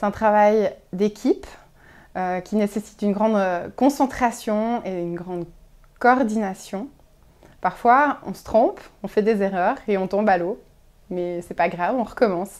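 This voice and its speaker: A woman at a fairly slow pace, with long, frequent pauses, big swings in loudness and ordinary pitch variation. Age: 30s. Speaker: clinic deputy director. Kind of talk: interview answers. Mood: warm, smiling. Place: office.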